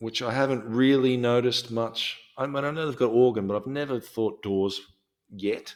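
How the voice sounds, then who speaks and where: Using an Australian accent, a man speaks at medium pitch and a moderate pace with fairly even intonation. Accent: Australian, non-rhotic. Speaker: podcast host. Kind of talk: casual chat. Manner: hesitant, many ums and restarts.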